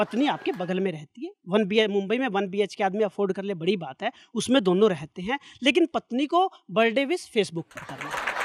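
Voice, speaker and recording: Recorded dry and close with no echo, a man with a high voice speaks at a moderate pace with lively intonation. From Sirsa, Haryana. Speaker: stand-up comedian and poet. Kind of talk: stand-up comedy set.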